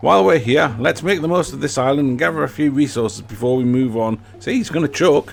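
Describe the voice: Someone is reading aloud in a plain way.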